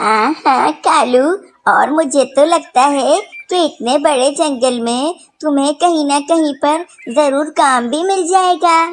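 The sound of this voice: A female-sounding, cartoonish character voice speaks at a high pitch and a fairly slow pace.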